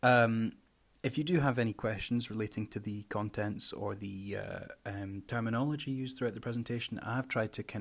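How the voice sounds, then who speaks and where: A man with a Scottish accent, fairly low in pitch, fairly even intonation, on a very clean recording with a silent background. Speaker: carnivorous plant grower and presenter. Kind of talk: presentation lecture. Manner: hesitant, many fillers.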